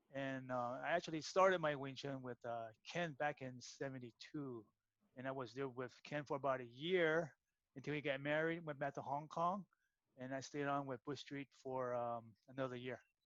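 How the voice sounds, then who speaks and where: A man's plain, everyday voice with an American accent, fairly high in pitch, at a moderate pace with fairly even intonation. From San Francisco, US. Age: 60s. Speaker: martial arts practitioner. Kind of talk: casual interview.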